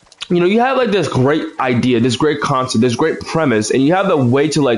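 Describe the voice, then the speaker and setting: A man speaks at a very fast pace with lively intonation. Music plays behind him. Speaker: gaming livestreamer. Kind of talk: casual gameplay commentary. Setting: livestream. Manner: halting, many fillers.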